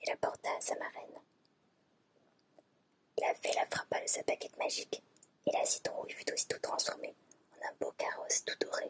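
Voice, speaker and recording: A woman speaks at an extremely high pitch with fairly even intonation and long, frequent pauses. The sound is dry and close, with no echo. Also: moderate pace. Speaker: ASMR creator. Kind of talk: fairy tale reading from a book.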